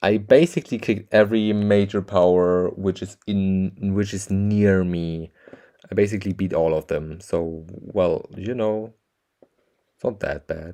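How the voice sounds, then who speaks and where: A man's dark, mellow voice, fairly low in pitch, at a fairly slow pace with fairly even intonation. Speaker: gaming streamer. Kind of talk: casual gameplay commentary. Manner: casual.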